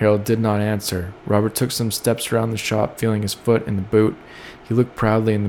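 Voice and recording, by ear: Natural-voiced reading aloud.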